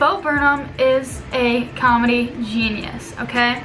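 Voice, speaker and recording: With music in the background and audible room echo, a woman speaks at a fairly high pitch. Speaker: student vlogger. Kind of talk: casual vlog / video essay. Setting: room with a window at work.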